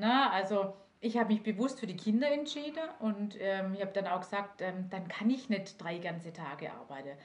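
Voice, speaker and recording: With lively intonation, a woman at a medium pitch talks at a moderate pace in a somewhat breathy voice. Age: 40s. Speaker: direct sales manager. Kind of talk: interview.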